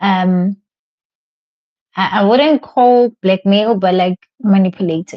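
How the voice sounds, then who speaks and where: At a very slow pace, a woman speaks in a somewhat breathy, medium-pitched voice with ordinary pitch variation, the sound dry and close with no echo over a quiet background. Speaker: tarot reader. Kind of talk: live tarot reading. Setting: livestream. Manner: halting.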